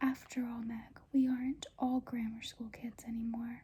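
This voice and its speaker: A soft-spoken woman talks at a fairly slow pace. Her high voice stays monotone and flat. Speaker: ASMR creator. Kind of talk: audiobook-style reading aloud, ASMR.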